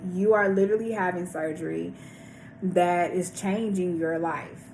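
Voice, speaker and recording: A woman talks at a moderate pace with fairly even intonation, and audible room echo surrounds her voice. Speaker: vlogger sharing weight loss surgery journey. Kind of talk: casual vlog monologue.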